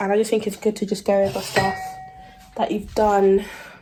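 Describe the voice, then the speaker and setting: A woman with a British accent at a moderate pace. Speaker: student vlogger. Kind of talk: casual vlog. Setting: outdoors in the rain. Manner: casual, chatty.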